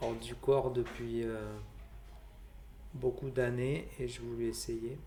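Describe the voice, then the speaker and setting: There is audible room echo. A man speaks at a very slow pace. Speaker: vlogger sharing out-of-body experiences. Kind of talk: personal testimony. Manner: halting, many hesitations.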